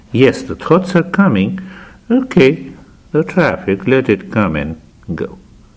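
Over noticeable background noise, a man with a fairly high pitch speaks at a fairly slow pace in a calm, gentle tone, his pitch swinging very widely between long, frequent pauses. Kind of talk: guided meditation. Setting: studio. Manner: slow, calm, soft-spoken, with long pauses; gentle, instructional.

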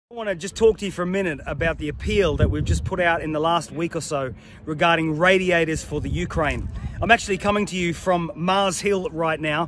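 Over noticeable background noise, a man with a high pitch talks at a fairly quick pace and fairly even intonation, the sound dry with no echo. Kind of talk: appeal message to a congregation. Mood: earnest, persuasive. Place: open country. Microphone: phone near.

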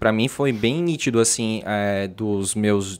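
Here a man speaks in a medium pitch. His pitch varies in an ordinary way. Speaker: podcast host. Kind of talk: casual interview. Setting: studio. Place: studio. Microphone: studio mic.

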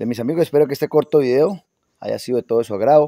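A man talks at a very fast pace in a dark, mellow tone, the sound dry with no echo. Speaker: garden channel host. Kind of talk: casual tutorial chat. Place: garden. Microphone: phone near.

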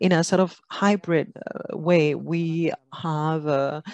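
A woman speaks at a very slow pace with a fairly low pitch. Her intonation stays fairly even, and the sound is dry with no echo. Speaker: conference moderator. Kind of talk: opening announcements. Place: meeting room. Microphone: podium.

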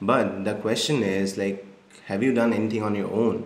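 A fairly low male voice, flat and monotone, at a fairly quick pace with audible room echo. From India, Assam. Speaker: marketing agency founder. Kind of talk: interview, casual chat. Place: home room.

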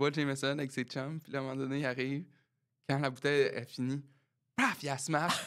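Over a quiet background, the speech comes at a fairly quick pace with long, frequent pauses, monotone, flat intonation and big swings in loudness. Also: man, fairly high pitch for a man. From Quebec. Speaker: musician and podcast co-host; podcast co-host. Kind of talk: casual chat. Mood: jovial, laughing. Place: studio. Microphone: studio mic.

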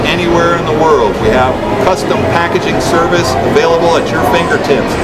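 A man speaking at a fairly quick pace, with music in the background. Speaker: auctioneer. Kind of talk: radio-style promotional ad read for an auction. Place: hall.

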